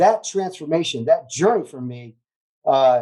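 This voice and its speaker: The voice has a dark, mellow tone and lively intonation. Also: man. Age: 60s. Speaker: former preacher, cannabis advocate. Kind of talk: interview. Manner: halting.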